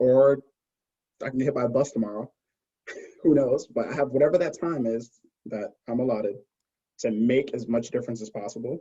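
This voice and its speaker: A man speaks fairly quickly at a medium pitch, with ordinary pitch variation and long, frequent pauses. His tone is dark and mellow, and somewhat breathy. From Brooklyn, New York City. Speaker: cancer scientist, pharma consultant. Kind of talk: podcast interview, casual chat. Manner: fast.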